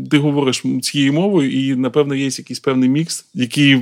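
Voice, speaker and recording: Pitched fairly high, a man's voice moves at a moderate pace. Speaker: podcast host. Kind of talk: interview. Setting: outdoors at a military training ground.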